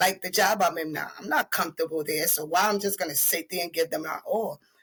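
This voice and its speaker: A woman with a slight Panamanian accent, fairly low in pitch, with ordinary pitch variation. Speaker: beautician and entrepreneur. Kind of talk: casual interview chat. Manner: halting.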